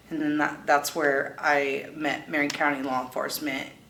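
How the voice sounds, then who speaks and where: A woman with an American accent speaks at a moderate pace in a very deep, low pitch. Audible room echo and noticeable background noise fill the recording. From US West Coast. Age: 30s. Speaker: person in recovery. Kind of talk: testimony.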